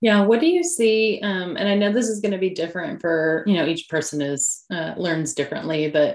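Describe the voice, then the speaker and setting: At a moderate pace, a woman talks in an ordinary speaking voice, fairly low-pitched, with ordinary pitch variation. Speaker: podcast host and coach. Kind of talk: interview with scripted intro.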